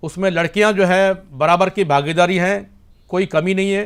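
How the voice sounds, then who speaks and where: Very clean recording, silent background, and a man talking at a moderate pace. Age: 60s. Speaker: martial arts grand master. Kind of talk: interview. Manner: halting, with fillers.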